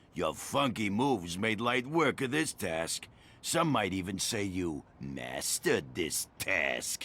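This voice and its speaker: A man puts on a character voice with very wide pitch swings. It sits at a fairly low pitch and moves at a fairly slow pace. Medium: video game. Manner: grandiose, smug.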